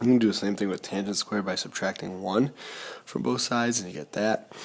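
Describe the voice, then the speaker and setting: A man's very fast speech, fairly low in pitch, over noticeable background noise. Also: ordinary pitch variation. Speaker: math teacher. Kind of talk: tutorial.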